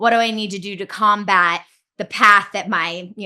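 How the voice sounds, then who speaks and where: The woman's bright, sharp voice holds a medium pitch with fairly even intonation over a quiet background. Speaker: fitness and wellness coach. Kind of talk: online group onboarding call. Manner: fast.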